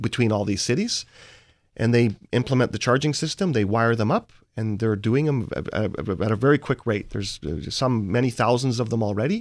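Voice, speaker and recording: Using a normal speaking voice, a man with a Canadian accent speaks at a fairly quick pace and medium pitch with ordinary pitch variation, on a very clean recording with a silent background. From Vancouver, Canada. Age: 40s. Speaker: investor and author. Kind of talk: interview.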